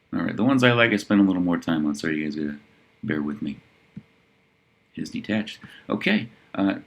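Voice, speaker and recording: Intonation rises and falls in a lively way. The delivery is very fast. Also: man, long, frequent pauses. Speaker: real estate listings reviewer. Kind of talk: listing review monologue. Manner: casual, conversational.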